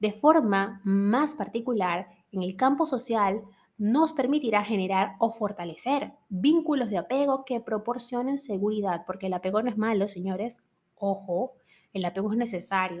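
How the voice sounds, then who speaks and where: On a very clean recording with a silent background, a woman speaks at a fairly high pitch. Her voice is somewhat breathy, with ordinary pitch variation and a moderate pace. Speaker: podcast host, psychology. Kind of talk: educational monologue. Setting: home recording, early morning.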